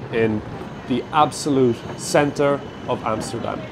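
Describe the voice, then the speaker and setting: Spoken at a fairly slow pace with fairly even intonation, the voice comes over noticeable background noise. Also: man. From Ireland, Cork City. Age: 30s. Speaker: stand-up comedian. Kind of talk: casual documentary talk.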